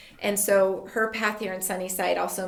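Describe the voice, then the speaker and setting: Audible room echo surrounds a woman who speaks with an American accent. Noticeable background noise is also present. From Tucson, Arizona. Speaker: elementary school principal. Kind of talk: casual interview.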